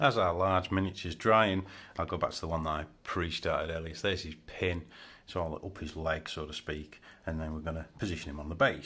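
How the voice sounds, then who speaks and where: A man talks at a very fast pace in a very deep, low pitch. His tone is bright and sharp, with fairly even intonation. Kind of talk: tutorial. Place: home room.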